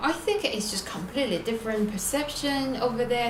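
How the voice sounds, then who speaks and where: A woman with a slight Chinese accent and ordinary pitch variation, audible room echo and noticeable background noise around her. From China, Beijing. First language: Mandarin Chinese. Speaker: singer. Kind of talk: interview. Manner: halting, many fillers.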